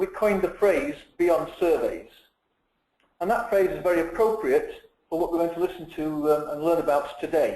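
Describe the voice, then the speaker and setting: With ordinary pitch variation, a man speaks at a moderate pace in a high voice. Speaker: company CEO hosting webinar. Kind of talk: webinar presentation. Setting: online webinar.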